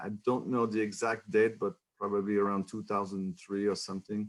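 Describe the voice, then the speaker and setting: A man with a French Canadian accent, in a very clean recording with a silent background. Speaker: economics professor. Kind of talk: lecture. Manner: halting.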